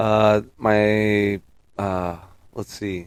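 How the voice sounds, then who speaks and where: A man with an American accent and a fairly low pitch. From Oregon, Portland area. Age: 30s. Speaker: budtender. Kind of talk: casual chat. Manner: loud.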